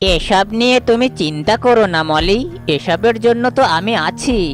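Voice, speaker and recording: At a moderate pace, a cartoonish character voice with fairly high pitch comes through over clear background noise. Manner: sly, wheedling.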